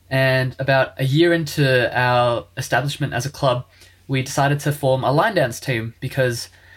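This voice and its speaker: Speaking with an Australian accent, a man sounds somewhat breathy. His intonation stays fairly even. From Australia, Melbourne (Springvale). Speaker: university student and lion dance organiser. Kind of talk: casual chat.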